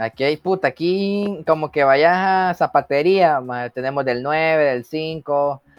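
A man at a very slow pace with hardly any pauses, ordinary pitch variation and a Salvadoran accent. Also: fairly high pitch for a man. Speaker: podcast host. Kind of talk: casual chat.

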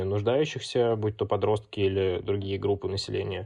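A man's unremarkable speaking voice, an unremarkable speaking voice, fairly low in pitch, at a fairly quick pace with fairly even intonation. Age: 20s. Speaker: student community founder and author. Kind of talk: interview.

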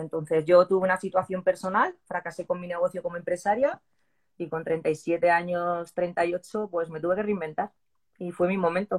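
A woman's ordinary speaking voice at fairly low pitch and a moderate pace, in a dry, close sound with no echo. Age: 40s. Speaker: CrossFit athlete and new police officer. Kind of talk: interview.

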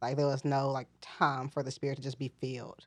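Very deep, low pitch from a woman with an American accent. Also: quiet background. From US South, Mississippi. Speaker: church member. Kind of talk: casual chat.

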